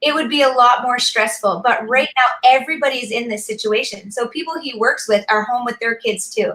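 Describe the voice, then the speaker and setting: A woman talks loudly in an animated tone at a fairly quick pace, with hardly any pauses. Her voice is high, with ordinary pitch variation. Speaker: mother of six. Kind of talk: casual chat.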